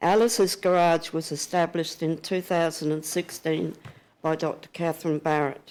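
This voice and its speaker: A woman with a very deep, low pitch speaks in a monotone, flat intonation on a very clean recording with a silent background. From England until 13, then Australia. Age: 80s+. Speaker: witness at public inquiry. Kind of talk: reading aloud a prepared statement. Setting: public hearing room, standing.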